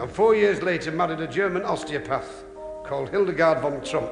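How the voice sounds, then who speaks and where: The speaker uses lively intonation at a moderate pace against noticeable background noise. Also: man. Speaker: comedian. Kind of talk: comedy monologue.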